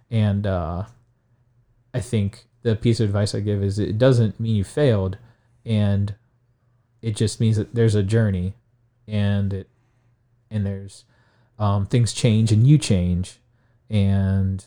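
In a Midwestern American accent, a man with a fairly low pitch and a dark, mellow tone talks at a fairly slow pace with fairly even intonation and long, frequent pauses, on a very clean recording with a silent background. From Ohio, Stark County. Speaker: high school science teacher. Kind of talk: interview. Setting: studio.

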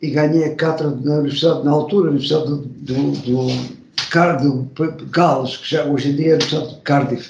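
Somewhat breathy with a dark, mellow tone, this man's fairly high voice keeps a fairly even intonation. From Portugal. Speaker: marketing professor. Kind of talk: interview.

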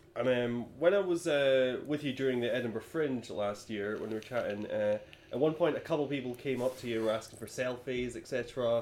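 A man's fairly quick speech, with ordinary pitch variation, comes through over noticeable background noise. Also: medium pitch for a man, hardly any pauses. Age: 20s. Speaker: podcast host. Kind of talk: casual chat.

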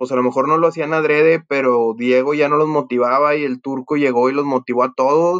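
Using an unremarkable speaking voice, a man with a fairly high pitch talks at a moderate pace. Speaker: podcast host. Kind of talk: casual chat.

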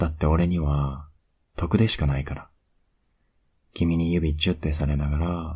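A man speaks at a fairly slow pace in a very deep, low pitch, somewhat breathy. His tone is dark and mellow, with monotone, flat intonation. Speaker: ASMR voice actor playing a boyfriend. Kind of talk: asmr boyfriend roleplay, intimate bedtime scene. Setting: close-mic bedtime audio for headphones. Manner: soft, whispery and tender; slow, pet-name sweet talk, lulling her to sleep; affectionate and teasing, with little laughs and cuddling.

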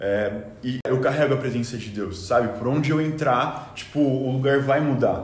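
A man speaks at a medium pitch and a moderate pace, with ordinary pitch variation and hardly any pauses. Audible room echo and noticeable background noise are present. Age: 19. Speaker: youth leader and university student. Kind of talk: casual chat, faith testimony. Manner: halting, many filler words.

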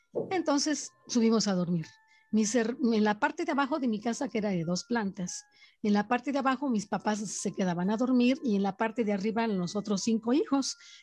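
This woman has a fairly high, somewhat breathy voice with lively intonation and very even loudness. She talks at a fairly quick pace against a quiet background. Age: 60s. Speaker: storyteller aunt of host. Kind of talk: personal testimony.

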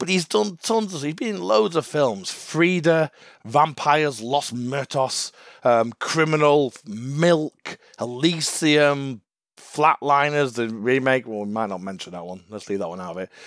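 With a fairly high pitch, a man speaks in a dry, close recording with no echo, his loudness swinging greatly and his pitch ranging very widely. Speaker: podcast host. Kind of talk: casual chat. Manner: casual, banter.

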